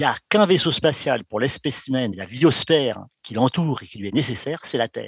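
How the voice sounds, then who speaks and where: A man at a moderate pace, dry and close with no echo, against a quiet background. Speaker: exobiologist. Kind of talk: interview. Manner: firm.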